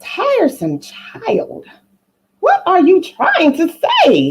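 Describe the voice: Slowly and in a put-on character voice, a woman speaks at an extremely high pitch with very wide pitch swings.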